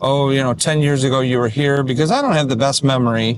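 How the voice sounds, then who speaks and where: This man has a plain, everyday voice and an American accent. His pitch is fairly high, with ordinary pitch variation. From Detroit. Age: 60s. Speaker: musician. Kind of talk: casual vlog talk to camera. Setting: in a car.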